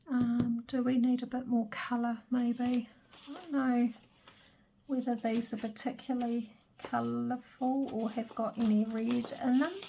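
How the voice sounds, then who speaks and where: A woman speaks quietly at a high pitch. Her intonation is monotone and flat. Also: fairly slow pace. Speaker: crafter. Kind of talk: crafting tutorial. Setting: craft room at home.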